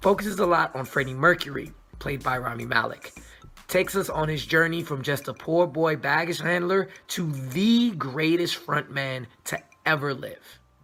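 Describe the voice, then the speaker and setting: Over music in the background, a man with a fairly high pitch speaks at a moderate pace in an animated tone, his pitch varying ordinarily while his loudness swings widely. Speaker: movie reviewer. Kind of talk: casual review monologue.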